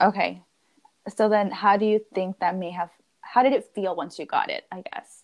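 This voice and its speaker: A woman speaks in a normal speaking voice at a moderate pace, her loudness swinging widely while her pitch varies in an ordinary way. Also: medium pitch for a woman, dry, close sound with no echo. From US, Mexican-American family. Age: 20s. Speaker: podcast host. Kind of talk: casual chat.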